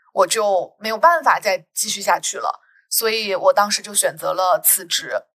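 The woman's loudness rises and falls in big swings. She keeps to a moderate speed. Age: 30s. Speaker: podcast host, sociology PhD student. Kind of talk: casual conversational podcast.

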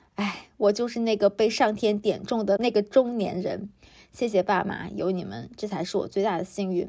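Her dark, mellow tone carries vocal fry as this woman talks at a moderate pace, medium pitch and fairly even intonation. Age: 30s. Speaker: podcast host. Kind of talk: solo podcast monologue. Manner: casual, conversational.

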